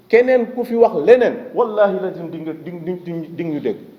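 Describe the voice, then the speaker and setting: A man speaks in a high voice with ordinary pitch variation. Noticeable background noise and audible room echo surround him. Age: 60s. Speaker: association leader for victims' families. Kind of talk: press conference speech.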